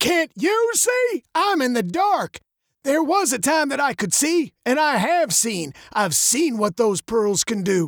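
A gravelly put-on character voice with big pitch swings at a slow pace, in a dry, close sound with no echo

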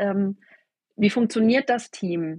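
Against a quiet background, a woman talks very slowly at a medium pitch, somewhat breathy, with ordinary pitch variation and a dry, close sound with no echo. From southern Baden, Germany. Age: 40s. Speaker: network marketing team leader. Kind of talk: interview. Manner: hesitant, many fillers.

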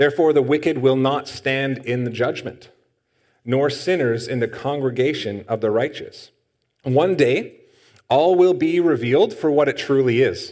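At a moderate pace, a man speaks in an ordinary speaking voice. His pitch is fairly high, with ordinary variation. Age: 30s. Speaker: pastor. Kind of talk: sermon.

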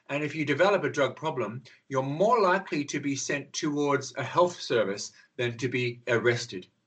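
Moderate pace and ordinary pitch variation from a man with a fairly high voice. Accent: Australian. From Australia. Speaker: drugs counsellor and activist. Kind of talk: interview.

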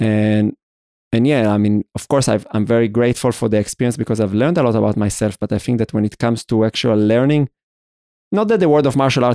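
At a very fast pace, a man talks in a dark, mellow tone at a medium pitch, the sound dry and close with no echo. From Israel. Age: 30s. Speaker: podcast host from the dance world. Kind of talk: interview conversation. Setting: remote call over the internet. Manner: halting, many false starts.

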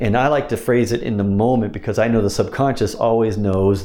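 A moderate pace with noticeable background noise. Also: man. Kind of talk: instructional talk about hypnosis scripts, with trance-induction wording.

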